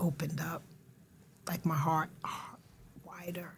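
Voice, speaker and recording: This woman's pitch is very deep and low. Her voice is somewhat breathy, and she talks at a fairly slow pace. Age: 60s. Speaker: recovery support specialist and mental health advocate. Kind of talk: podcast interview.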